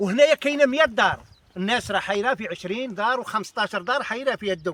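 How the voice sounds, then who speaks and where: This man's pitch is high and his intonation lively. He speaks at a fairly quick pace. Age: 60s. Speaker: local resident. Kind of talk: street interview. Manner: halting.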